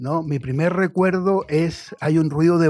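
In an unremarkable speaking voice, a man talks at a fairly slow pace. His intonation stays fairly even. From Chile. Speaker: writer and journalist. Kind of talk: radio interview. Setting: radio studio.

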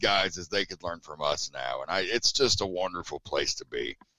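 A bright, sharp male voice with an American accent at a moderate pace, in dry, close sound with no echo. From Tennessee, US South. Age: 40s. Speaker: wrestling announcer and commentator. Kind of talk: casual interview chat.

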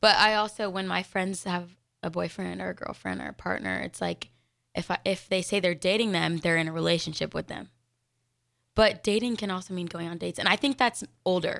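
On a very clean recording with a silent background, a woman talks at a fairly quick pace and medium pitch, with vocal fry. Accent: Mountain West. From Denver, Colorado. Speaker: college gymnast and radio co-host. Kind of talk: casual chat. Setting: live radio studio show.

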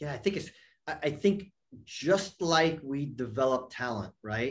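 With a New York accent, a man speaks at a fairly high pitch. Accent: American (New York area). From New York area, US. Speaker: football academy director. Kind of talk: podcast interview. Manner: halting, many fillers and repeats.

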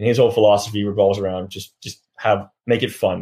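A man with a Californian accent talks at a very fast pace, somewhat breathy and fairly low in pitch, on a very clean recording with a silent background. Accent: American (California). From California, Sacramento. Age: 20s. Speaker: professional rugby player. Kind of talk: interview.

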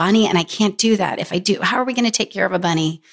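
In a very clean recording with a silent background, a woman with a normal speaking voice talks at a fairly quick pace with ordinary pitch variation. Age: 40s. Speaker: author. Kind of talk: casual chat. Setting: studio.

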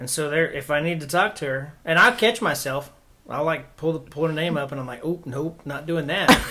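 A man with a fairly high pitch speaks in an American accent with ordinary pitch variation. His loudness swings widely, and there is noticeable background noise. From Oklahoma. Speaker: guest sharing faith testimony. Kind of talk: testimony.

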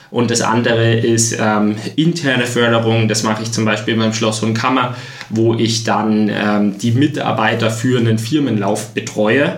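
Noticeable background noise and audible room echo surround a man speaking at a fairly slow pace. His pitch is medium, his intonation fairly even, and his loudness very even. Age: 20s. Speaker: triathlete. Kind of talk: interview. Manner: many fillers like äh, ähm.

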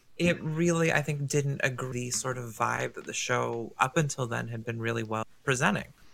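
Background noise is noticeable as a man speaks at a moderate pace with hardly any pauses. His pitch is medium, with ordinary variation. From Canada. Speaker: guest. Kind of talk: casual podcast chat. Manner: playful, joking.

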